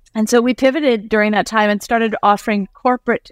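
A woman speaks in a plain, everyday voice with ordinary pitch variation. The recording is very clean and silent behind her, with a dry, close sound and no echo. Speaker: author and company CEO. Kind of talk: casual interview chat.

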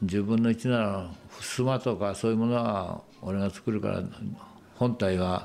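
With an ordinary speaking voice, a man talks at a fairly slow pace and fairly low pitch, keeping very even loudness and fairly even intonation. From Japan, Shizuoka. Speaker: wooden model maker. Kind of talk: casual chat.

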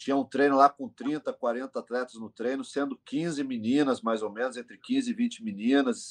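Against a quiet background, a man with an unremarkable speaking voice talks at a medium pitch and moderate pace, with ordinary pitch variation and hardly any pauses. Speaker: MMA coach and team owner. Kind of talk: casual interview.

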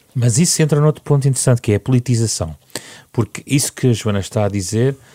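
The voice has a dark, mellow tone and ordinary pitch variation. The sound is dry and close, with no echo. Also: man. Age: 40s. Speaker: radio host. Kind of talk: radio interview.

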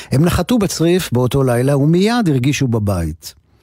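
The voice has a dark, mellow tone and swings very widely in pitch. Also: man. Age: 60s. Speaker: radio host. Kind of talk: radio music show narration.

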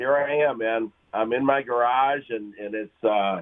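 A man has an unremarkable speaking voice. He talks at a fairly slow pace with lively intonation. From US Midwest. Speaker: caller. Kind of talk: casual chat. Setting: phone call.

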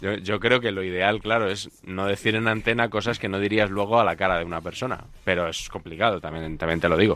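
Fairly quick speech from a man at a fairly low pitch, with fairly even intonation and music in the background. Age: 40s. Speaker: sports radio commentator. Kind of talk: casual chat.

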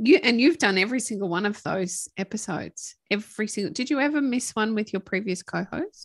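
Against a quiet background, a woman speaks fairly quickly with hardly any pauses, her fairly high, somewhat breathy voice showing lively intonation in a dry, close sound with no echo. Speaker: podcast co-host. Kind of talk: casual chat. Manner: clear enunciation.

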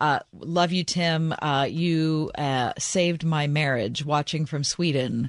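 Her pitch is very deep and low, with ordinary variation. The woman speaks at a very slow pace against a quiet background. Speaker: radio co-host. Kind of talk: casual chat. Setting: studio.

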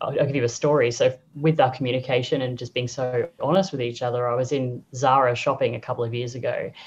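Speaking at a fairly quick pace, a woman with an Australian accent has a very deep, low pitch and a somewhat breathy voice. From Australia, Brisbane. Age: 30s. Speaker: sex-positive podcaster. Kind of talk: casual interview.

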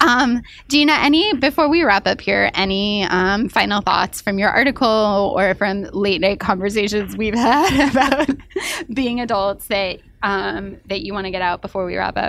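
A woman with a normal speaking voice talks at a medium pitch and moderate pace, with ordinary pitch variation. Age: 30s. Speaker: podcast host, magazine editor. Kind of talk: casual chat.

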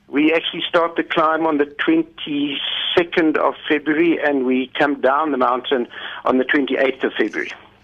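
A man speaks at a moderate pace with a fairly high pitch and very even loudness. His intonation stays fairly even in a plain, everyday voice. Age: 60s. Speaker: diabetes patient and climber. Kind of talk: radio interview. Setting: phone call.

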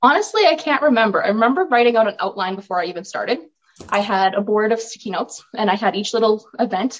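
Speaking at a very fast pace, a woman with a western Canadian accent has a fairly high pitch. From Alberta, Canada (Olds, rural farm). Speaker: author and filmmaker. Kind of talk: interview.

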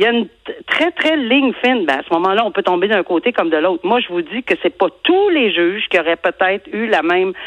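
With very wide pitch swings, a woman at medium pitch talks at a moderate pace. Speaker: retired judge. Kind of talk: interview.

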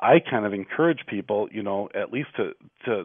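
A man with an American accent and an unremarkable speaking voice, fairly low in pitch, at a fairly quick pace with ordinary pitch variation. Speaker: real estate agent, radio co-host. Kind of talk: casual radio talk show chat. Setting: phone call.

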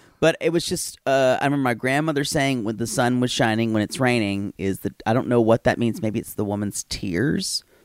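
A man's normal speaking voice at medium pitch, fairly quick with hardly any pauses, ordinary pitch variation, and a dry, close sound with no echo. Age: 40s. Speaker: podcast host. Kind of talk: casual chat, recap banter.

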